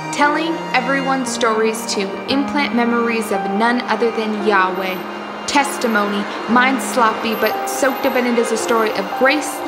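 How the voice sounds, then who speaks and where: Over music in the background, a woman talks at a moderate pace with very even loudness and ordinary pitch variation. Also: fairly high pitch for a woman. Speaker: spoken word poet. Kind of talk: spoken word poetry performance.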